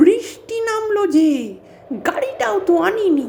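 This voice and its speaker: A put-on character voice pitched extremely high, with clear background noise behind it. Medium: read story. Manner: subdued, brooding.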